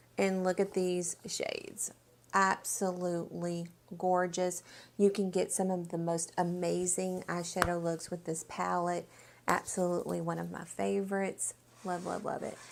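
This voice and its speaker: At a moderate pace, a woman talks on a very clean recording with a silent background. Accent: Southern US. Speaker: beauty vlogger. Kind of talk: product review vlog. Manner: animated.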